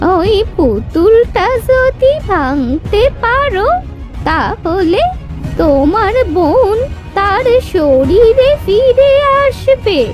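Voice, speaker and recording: Clear music plays behind a cartoonish character voice. It has an extremely high pitch and a very slow pace. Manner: knowing, calm.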